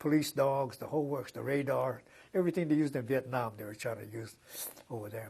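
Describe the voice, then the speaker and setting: The man's voice is somewhat breathy and fairly high in pitch. His pace is moderate, with ordinary pitch variation. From Los Angeles, California. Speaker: civil rights activist. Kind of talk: oral history interview answer. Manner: hesitant, conversational.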